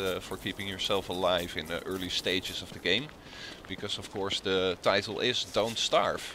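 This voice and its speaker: A man's fairly low voice with a strong Dutch accent over noticeable background noise. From Netherlands. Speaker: gaming video creator. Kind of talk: let's play commentary. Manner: halting, many filler sounds. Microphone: poor sound quality, old headset.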